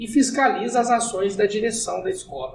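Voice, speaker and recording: A man at a moderate pace, with audible room echo. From southern Minas Gerais, Brazil. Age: 30s. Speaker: city councillor and lawyer. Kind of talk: casual podcast interview.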